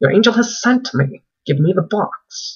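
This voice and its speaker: A man speaks in a put-on character voice. It is high-pitched and delivered at a moderate pace. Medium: read story. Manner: insistent, demanding.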